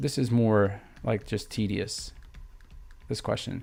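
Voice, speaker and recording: A man speaks with vocal fry on a very clean recording with a silent background. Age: 30s. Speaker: math teacher. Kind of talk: livestream tutorial. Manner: casual, filler-heavy.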